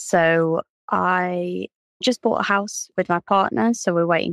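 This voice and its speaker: An ordinary speaking voice from a woman, fairly low and fairly even in intonation, at a fairly slow pace, with a dry, close sound and no echo. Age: 20s. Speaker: economist. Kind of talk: interview. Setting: remote recording at home.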